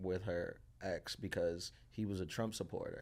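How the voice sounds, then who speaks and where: With a New York accent and fairly even intonation, the speaker is heard in a very clean recording against a silent background. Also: man. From Queens, New York (Dominican family). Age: 30s. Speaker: comedian. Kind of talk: casual interview chat. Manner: halting, many fillers and restarts.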